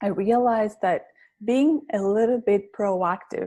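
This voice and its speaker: A woman with a strong Greek accent speaks at a fairly slow pace and a medium pitch. Her tone is dark and mellow, and the background is quiet. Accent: heavy Greek. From Greece. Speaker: public speaking coach. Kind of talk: interview.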